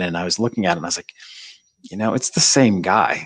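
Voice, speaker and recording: This man has an American accent and a fairly low pitch. He talks very fast, and the sound is dry and close with no echo. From upstate New York (Adirondacks). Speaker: ski company co-founder, book publisher. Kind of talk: interview. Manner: casual with frequent fillers.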